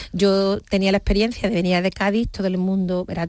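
A woman talks in a normal speaking voice at a medium pitch. Her pace is moderate. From Seville, Andalusia, Spain. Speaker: charity regional president, nurse. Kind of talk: radio interview.

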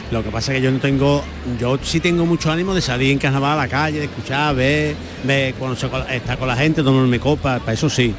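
A man at medium pitch talking at a very fast pace, fairly even intonation, noticeable background noise behind him. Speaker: carnival commentator. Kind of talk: live radio commentary. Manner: halting.

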